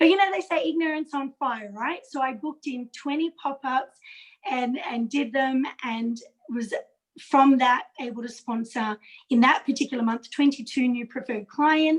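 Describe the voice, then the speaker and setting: Speaking with an Australian accent, a woman keeps a moderate pace and a high pitch with ordinary pitch variation. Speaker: direct sales consultant. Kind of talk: video call interview. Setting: video call.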